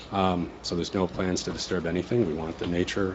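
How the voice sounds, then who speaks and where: A man talks at a fairly quick pace in a very deep, low pitch. Noticeable background noise runs behind him. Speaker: indoor golf business owner. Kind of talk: testimony at planning board hearing. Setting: public board meeting, microphone. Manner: loud.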